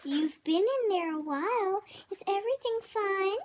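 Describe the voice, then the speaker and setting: Using a put-on character voice, a woman speaks at an extremely high, squeaky pitch. Her intonation is lively and her pace moderate. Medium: read story.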